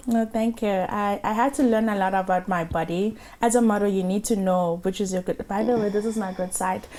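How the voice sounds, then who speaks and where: Speaking in an unremarkable speaking voice, a woman of medium pitch moves at a fairly quick pace with hardly any pauses, fairly even intonation and very even loudness. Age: 30s. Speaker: model and makeup entrepreneur. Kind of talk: casual interview.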